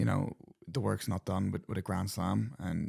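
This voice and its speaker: A man speaks with a very deep, low pitch, a dark, mellow tone, and vocal fry. His pace is fairly quick, his pitch variation ordinary, and the recording very clean with a silent background. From Ireland and Australia (County Meath, then Australia age 6 to 16). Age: 20s. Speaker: professional rugby player. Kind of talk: podcast interview. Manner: casual, filler-heavy with repetitions.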